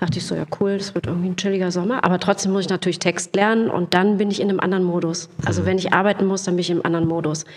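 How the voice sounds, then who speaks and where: A woman at a medium pitch talks at a very fast pace with hardly any pauses. Her intonation is monotone and flat, with noticeable background noise. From Lower Rhine region, Germany. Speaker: actress and voice artist. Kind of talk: casual chat.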